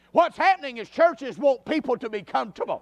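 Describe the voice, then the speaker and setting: A man with a Southern US accent speaks at a fairly quick pace with lively intonation. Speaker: preacher. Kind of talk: sermon at tent revival. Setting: church tent revival with live congregation. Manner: animated, pulpit-style exhortation, direct and blunt; conversational and folksy, with repeated asides to the crowd.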